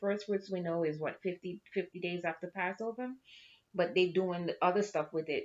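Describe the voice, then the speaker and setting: Delivered at a moderate pace with fairly even intonation. It is a plain, everyday voice. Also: woman. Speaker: Bible study host and teacher. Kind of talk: casual commentary explaining the text. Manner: conversational, casual.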